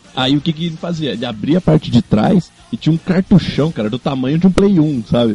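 Over noticeable background noise, a man talks at a fairly quick pace with hardly any pauses, the sound dry and close with no echo. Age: 20s. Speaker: podcast co-host. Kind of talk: casual chat.

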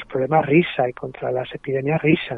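In a normal speaking voice, a man talks at a moderate pace with fairly high pitch and fairly even intonation. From Madrid, Spain. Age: 40s. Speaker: playwright and stage director. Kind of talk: radio interview.

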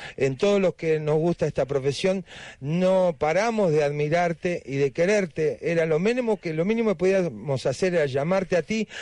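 A man with a high pitch and a dark, mellow tone speaks in a Rioplatense accent at a moderate pace, hardly pausing, with ordinary pitch variation. The sound is dry and close, with no echo. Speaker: radio host. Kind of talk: radio interview.

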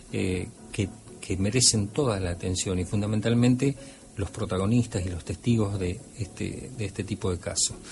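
Talking at a moderate pace, a man with an unremarkable speaking voice has a fairly low pitch and ordinary pitch variation. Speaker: radio host and ufologist. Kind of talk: radio talk show.

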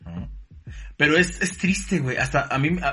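With music in the background, a man with a Mexican accent talks at a fairly quick pace with a fairly high pitch. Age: 20s. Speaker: podcast guest. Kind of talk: casual chat.

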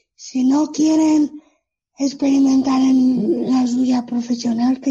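A woman talks at a high pitch with monotone, flat intonation. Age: 30s. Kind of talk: interview. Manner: halting.

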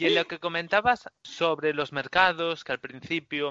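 A man in a normal speaking voice, moderate in pace, with fairly even intonation. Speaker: podcast host. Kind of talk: interview.

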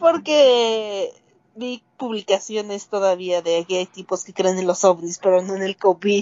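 Speaking fairly slowly, a woman uses an ordinary speaking voice at medium pitch with ordinary pitch variation. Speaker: music podcast co-host. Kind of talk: casual chat.

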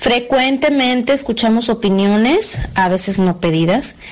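Noticeable background noise sits behind a woman speaking. Her pitch is fairly high, with ordinary pitch variation. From Mexico, Guadalajara. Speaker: mother, expatriate. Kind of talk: testimony.

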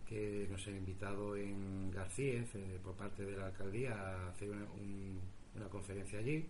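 A somewhat breathy man speaks at a fairly low pitch and a fairly slow pace. His intonation is fairly even, and the room echo is audible. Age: 40s. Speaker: radio host and paranormal investigator. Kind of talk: interview answers. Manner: halting, repeats words.

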